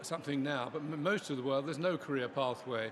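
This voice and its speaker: Very fast male speech, fairly high in pitch, with ordinary pitch variation over noticeable background noise. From England. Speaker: scientist. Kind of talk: interview.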